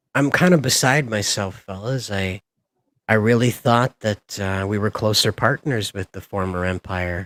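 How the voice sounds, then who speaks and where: A man with a plain, everyday voice talks at a fairly slow pace with a fairly low pitch and ordinary pitch variation. The recording is very clean with a silent background, and the sound is dry and close with no echo. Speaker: streamer. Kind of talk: casual chat.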